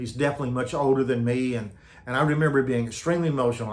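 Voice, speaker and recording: With an American accent, a man of medium pitch sounds somewhat breathy, his fairly even intonation carrying audible room echo. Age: 70s. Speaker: retired pastor. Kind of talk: personal testimony. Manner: halting with many fillers and repetitions.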